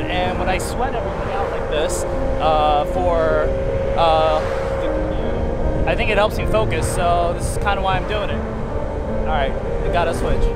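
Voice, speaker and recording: With music in the background, a man talks at a moderate pace, the sound dry with no echo. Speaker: vlogger commuting. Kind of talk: casual vlog chat. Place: street. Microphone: phone near.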